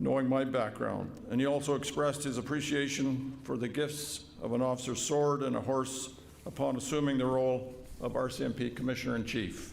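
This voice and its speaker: Delivered at a fairly quick pace, the speech is monotone and flat, with very even loudness, noticeable background noise and audible room echo. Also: man, medium pitch for a man. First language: Woodland Cree. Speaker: vice-regal representative and police veteran. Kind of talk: formal ceremonial speech. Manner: formal.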